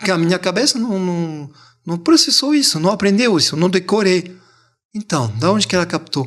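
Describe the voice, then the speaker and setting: A man with a French accent, high-pitched for a man, with lively intonation at a moderate pace. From France, Montpellier. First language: French (speaking Portuguese). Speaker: language teacher. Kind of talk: interview.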